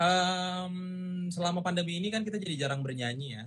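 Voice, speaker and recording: At a moderate pace, a man delivers his words in a somewhat breathy voice. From Indonesia. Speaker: singer. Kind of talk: casual chat. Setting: video call.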